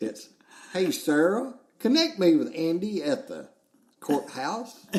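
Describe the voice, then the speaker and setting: A man speaks with a Southern US accent. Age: 60s. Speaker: podcast host. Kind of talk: casual chat.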